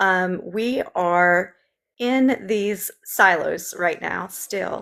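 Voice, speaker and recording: A woman with a Southern accent, medium pitch and ordinary pitch variation, at a very slow pace, on a very clean recording with a silent background. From US South, Memphis. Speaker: political candidate. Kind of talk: interview.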